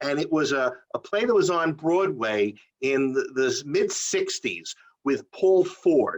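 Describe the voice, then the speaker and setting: Speaking with a New York accent, a man lets his pitch vary in an ordinary way. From New York City (Queens). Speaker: playwright and theatre company founder. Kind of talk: interview. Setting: video interview.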